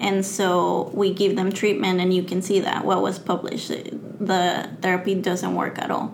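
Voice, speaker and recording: Noticeable background noise behind a woman with a Spanish accent, medium pitch, monotone, flat intonation, and a fairly slow pace with hardly any pauses. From Mexico. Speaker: graduate student and science communicator. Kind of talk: interview.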